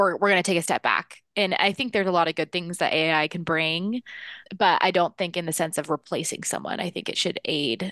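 Recorded with a dry, close sound with no echo and a quiet background, a woman with an American accent has an ordinary speaking voice, a fairly low pitch and ordinary pitch variation. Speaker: podcast panelist. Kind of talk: casual chat.

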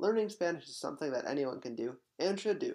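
Speech comes rather quickly. The recording is very clean and the background is silent. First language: English (speaking Spanish). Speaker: video presenter. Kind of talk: scripted narration.

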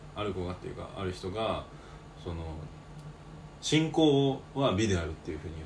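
A man's very deep, low voice at a moderate pace, with very wide pitch swings, big swings in loudness, long, frequent pauses, audible room echo, and noticeable background noise. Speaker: podcast co-host, university student. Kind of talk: casual chat.

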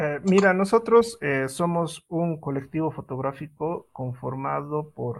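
Somewhat breathy, a man speaks with a fairly high pitch and ordinary pitch variation. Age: 30s. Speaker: photographer, event organizer. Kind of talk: interview.

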